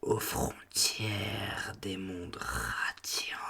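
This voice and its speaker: The man whispers at a very slow pace, putting on a character voice. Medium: read story. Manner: calm, fatalistic, zealous.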